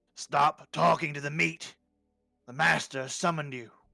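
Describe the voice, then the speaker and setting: A man shouts at a moderate pace in a put-on character voice with a fairly high pitch. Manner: shouting, commanding.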